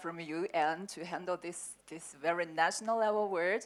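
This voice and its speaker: On a very clean recording with a silent background, a woman with a Chinese accent speaks at a fairly low pitch with fairly even intonation. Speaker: sales manager at herbal medicine company. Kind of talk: panel discussion. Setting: conference panel. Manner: halting.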